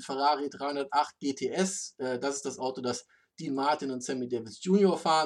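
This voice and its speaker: With an ordinary speaking voice, a man at a fairly high pitch talks at a moderate pace with ordinary pitch variation over a quiet background. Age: adult. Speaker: car podcast host and moderator. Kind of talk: casual chat.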